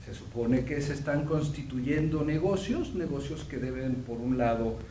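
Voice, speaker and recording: With audible room echo and noticeable background noise, a man speaks at a fairly slow pace, his pitch fairly high with ordinary variation. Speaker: professor and veterinarian. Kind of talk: lecture. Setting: seminar with audience. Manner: halting, many fillers.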